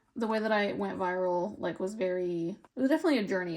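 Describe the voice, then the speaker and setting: In a very clean recording with a silent background, a woman with an American accent speaks at a medium pitch with lively intonation. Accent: American, sometimes taken for Canadian. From California, US. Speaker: lifestyle vlogger. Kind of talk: casual chat. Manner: rambling, filler-heavy.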